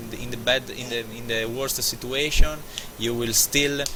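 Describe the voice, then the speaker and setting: Over noticeable background noise, a man speaks at medium pitch with monotone, flat intonation. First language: not English. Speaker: sim racing driver. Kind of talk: post-race interview. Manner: halting.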